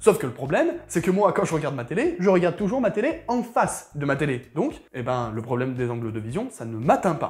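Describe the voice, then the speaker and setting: The speaker is a man with pitch that swings very widely. His delivery is fairly brisk. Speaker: tech youtuber. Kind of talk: casual tech review to camera.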